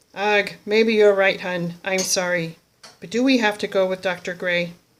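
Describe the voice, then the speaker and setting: Put-on character voice from a woman, medium in pitch, moderate in pace, with fairly even intonation. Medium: solo performance. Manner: dramatic, emphatic.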